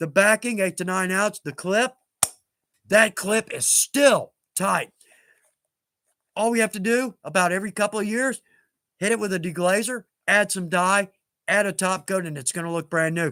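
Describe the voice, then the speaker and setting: A man's raised, projected, animated voice, high-pitched and bright and sharp in tone, at a moderate pace with ordinary pitch variation and long, frequent pauses, in a very clean recording with a silent background and a dry, close sound with no echo. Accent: American. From East Texas. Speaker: leathercraft live-stream host. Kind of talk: live stream tutorial chat.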